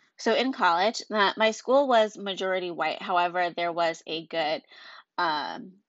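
Here a woman talks in an ordinary speaking voice. Her pitch is medium, with ordinary pitch variation. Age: 20s. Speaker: podcast host, mother. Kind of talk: solo monologue podcast. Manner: casual, conversational.

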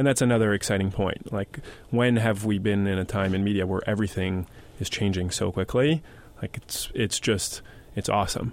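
This man has a plain, everyday voice, fairly low in pitch, with ordinary pitch variation and a fairly quick pace. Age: 20s. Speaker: media company CEO. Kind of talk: interview.

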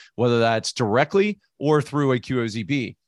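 Lively intonation comes through in a dry, close sound with no echo against a quiet background. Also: man. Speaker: opportunity zone expert. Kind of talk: live Q&A webinar answers. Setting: home office studio, online. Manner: fast talker; excitable.

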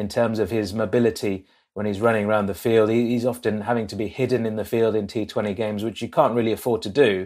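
A man with an English accent speaks at medium pitch and a fairly quick pace. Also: very clean recording, silent background. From England. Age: 30s. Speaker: cricket podcast host and journalist. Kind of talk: casual chat.

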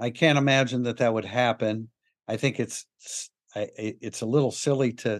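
A man talks in an ordinary speaking voice at a medium pitch and moderate pace, with fairly even intonation, in a dry, close sound with no echo against a quiet background. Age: 60s. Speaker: sports podcast host. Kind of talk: casual chat.

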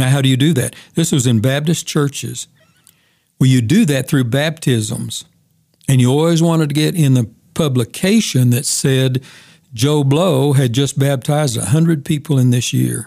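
Fairly high in pitch, a man has an unremarkable speaking voice with ordinary pitch variation, a moderate pace and very even loudness. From US, moved around; born in Oklahoma. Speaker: retired pastor and Bible teacher. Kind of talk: casual interview, personal testimony.

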